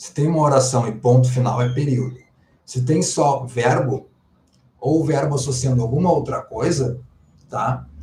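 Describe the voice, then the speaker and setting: A man with a dark, mellow tone and vocal fry speaks at a moderate pace with fairly even intonation. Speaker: Portuguese language teacher. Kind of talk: live online class. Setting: livestream.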